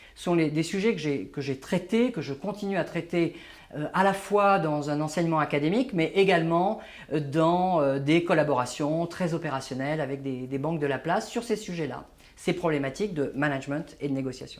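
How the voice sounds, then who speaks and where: Moving at a moderate pace, a man speaks in a fairly high voice with ordinary pitch variation. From Paris, France (born in Algeria). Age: 60s. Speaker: management trainer and author. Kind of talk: interview. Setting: office. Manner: hesitant, many fillers.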